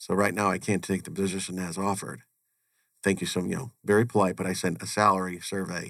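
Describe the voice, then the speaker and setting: Speaking at a very fast pace, a man with an American accent has a very deep, low voice. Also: fairly even intonation. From US Northeast (Connecticut). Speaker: chief financial officer. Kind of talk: interview.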